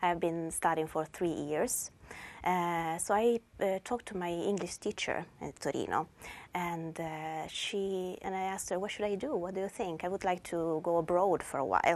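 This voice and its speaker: A woman's fairly low voice in an Italian accent, fairly even in intonation, at a moderate pace, over a quiet background. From northern Italy, Turin. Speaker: language teacher. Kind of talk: personal introduction. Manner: halting.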